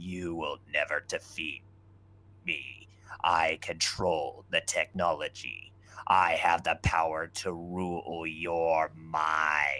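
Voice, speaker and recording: In a very clean recording with a silent background, a man uses a put-on character voice, very deep and low, delivered very slowly in a monotone, flat intonation. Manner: scary, menacing.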